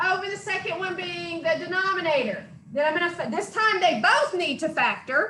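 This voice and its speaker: A woman's extremely high, raised, projected voice with lively intonation at a moderate pace, plus audible room echo. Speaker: math instructor. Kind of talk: lecture.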